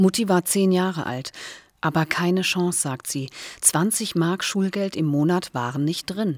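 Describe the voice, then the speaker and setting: A woman speaks at a fairly slow pace with a slight Hessian accent and ordinary pitch variation. The recording is very clean, with a silent background. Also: fairly low pitch for a woman. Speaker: podcaster. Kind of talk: scripted narration.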